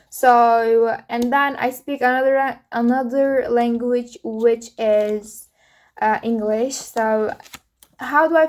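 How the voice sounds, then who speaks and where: A woman speaks with an Uzbek accent and a high pitch. Her pitch varies in an ordinary way. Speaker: vlogger. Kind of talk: casual solo podcast monologue. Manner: halting, many fillers.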